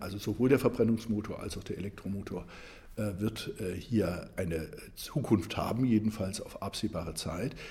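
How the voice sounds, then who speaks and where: A man speaks at a fairly low pitch. Noticeable background noise is present. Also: ordinary pitch variation, moderate pace. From Germany, Saarland. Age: 60s. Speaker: economics professor and political candidate. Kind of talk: interview. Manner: hesitant with frequent fillers.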